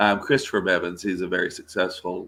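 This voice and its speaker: A man speaks with a Texas accent. His tone is bright and sharp. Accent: Texas twang. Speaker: voice actor. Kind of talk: interview. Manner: animated.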